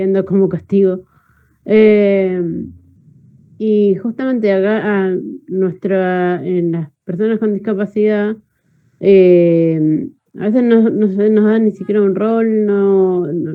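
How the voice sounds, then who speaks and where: Very slowly and with long, frequent pauses, a woman speaks at a medium pitch with fairly even intonation. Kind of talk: online class discussion. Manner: halting.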